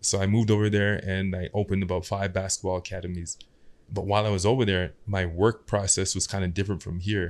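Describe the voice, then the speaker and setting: A man speaks very fast in a fairly low pitch with a monotone, flat intonation. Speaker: podcast guest. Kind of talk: interview answer. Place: studio. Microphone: studio mic.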